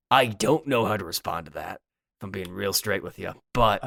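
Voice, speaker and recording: Using a put-on character voice, a man sounds raspy at a fairly low pitch and moderate pace, with big swings in loudness on a very clean recording with a silent background. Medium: actual play. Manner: casual, flustered.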